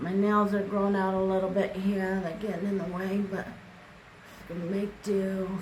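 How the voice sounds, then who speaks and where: A woman with a slight Midwestern accent speaks at medium pitch and a moderate pace, with audible room echo. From US Midwest. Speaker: beauty vlogger. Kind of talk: makeup tutorial.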